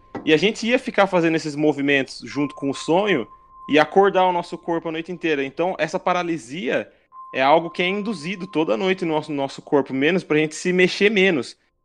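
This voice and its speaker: Over music in the background, a man with a high pitch talks at a fairly quick pace with ordinary pitch variation. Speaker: podcast co-host. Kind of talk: casual chat.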